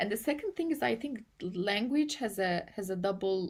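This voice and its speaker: Speaking with a Turkish accent, a woman talks at a medium pitch and moderate pace. The recording is very clean with a silent background. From Turkey. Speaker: AI policy and ethics researcher. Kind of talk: interview. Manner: halting, with many repetitions and fillers.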